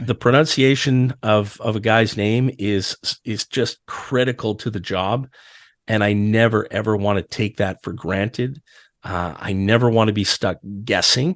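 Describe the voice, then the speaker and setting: Against a quiet background, a man with a normal speaking voice talks at a fairly slow pace, fairly low in pitch with ordinary pitch variation. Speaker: arena public address announcer for a hockey team. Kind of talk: casual podcast interview answer.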